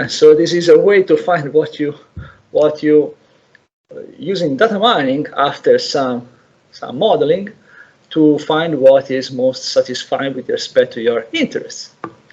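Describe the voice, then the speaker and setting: With an Italian accent, a man talks at a fairly slow pace. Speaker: lecturer. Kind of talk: lecture. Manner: halting, many repetitions.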